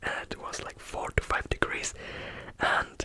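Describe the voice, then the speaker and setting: Whispering in a relaxed tone, a man can be heard over noticeable background noise. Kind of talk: ASMR real-life storytelling for sleep. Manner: soft-spoken, slow, relaxed.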